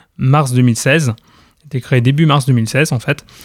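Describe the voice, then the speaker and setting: At a fairly slow pace, an unremarkable speaking voice comes through in a dry, close sound with no echo. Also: man. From Normandy, France. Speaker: quidditch club president. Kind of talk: radio interview.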